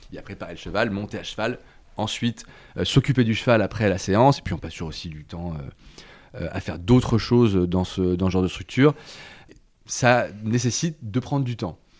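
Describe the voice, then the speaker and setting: Speaking at a moderate pace, a man with a fairly low voice uses lively intonation and big swings in loudness. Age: 30s. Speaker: notary. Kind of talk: interview. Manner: hesitant, many fillers.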